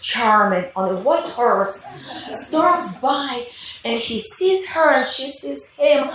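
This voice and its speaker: A woman speaks at a very slow pace with very wide pitch swings. Noticeable background noise and audible room echo are present. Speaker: mother of the bride. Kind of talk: wedding speech.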